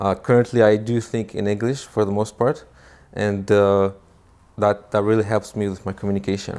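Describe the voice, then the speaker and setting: On a very clean recording with a silent background, a man with a slight non-native accent speaks at a moderate pace in a flat monotone. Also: fairly low pitch for a man. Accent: slight foreign. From Israel. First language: Hebrew. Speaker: immigrant guest. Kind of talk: interview. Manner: hesitant, many fillers.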